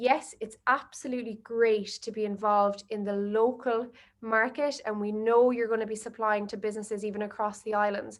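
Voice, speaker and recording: Her voice is fairly high and monotone, and this woman speaks in a flat line with hardly any pauses. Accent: Irish. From Ireland. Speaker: marketing agency director. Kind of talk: webinar presentation. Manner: fast.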